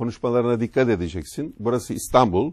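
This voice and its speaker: Over a quiet background, a man's dark, mellow voice comes through dry, with no echo. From Turkey, Marmaris; Turkey. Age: 60s. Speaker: retired business executive; TV talk show guest. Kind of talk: interview, life story. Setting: studio. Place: studio. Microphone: lapel.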